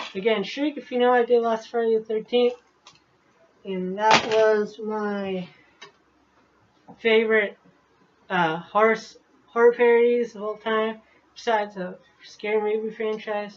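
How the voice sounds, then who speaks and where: A put-on character voice mumbles at a fairly high pitch and a moderate pace. Long, frequent pauses break up the speech. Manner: mumbling.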